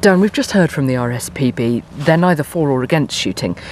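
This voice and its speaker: A woman talks at a fairly quick pace with lively intonation, and there is noticeable background noise. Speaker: radio presenter. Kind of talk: radio presenting. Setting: outdoors on a farm shoot. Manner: speaking quietly.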